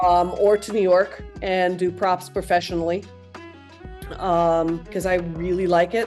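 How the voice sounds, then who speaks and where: With music in the background, a woman talks at a fairly slow pace in a General American accent, her fairly low voice flat and monotone. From Aspen, Colorado. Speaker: theater props maker. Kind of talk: podcast interview answer. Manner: casual, hesitant.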